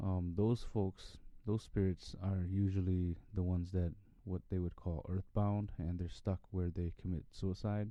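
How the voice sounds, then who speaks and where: In a very deep, low pitch, a man talks at a fairly slow pace with monotone, flat intonation. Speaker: podcast host. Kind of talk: casual monologue podcast.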